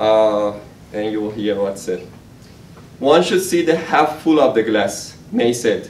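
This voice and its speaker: A man's very slow, lively intonation, with audible room echo and light background noise. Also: medium pitch for a man. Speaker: software engineer and amateur writer; guest. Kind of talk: prose reading. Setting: stage with audience. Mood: dark, intense poem. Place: hall. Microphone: camera far.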